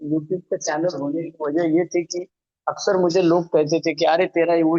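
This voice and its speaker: A man talking at a moderate pace. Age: 60s. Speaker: recovering alcoholic speaker, retired law professor. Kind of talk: recovery testimony. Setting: online meeting from home, alone.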